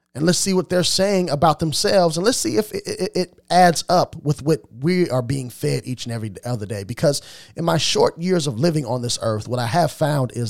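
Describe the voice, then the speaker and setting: A man's fairly high voice with an American accent, very wide pitch swings and a fairly quick pace, in a dry, close sound with no echo. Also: very clean recording, silent background. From US Midwest, Illinois. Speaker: podcast host. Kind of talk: solo commentary podcast.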